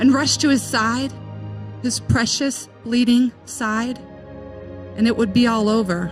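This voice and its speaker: Music plays in the background as a woman talks at a fairly slow pace. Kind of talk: spoken word poetry reading.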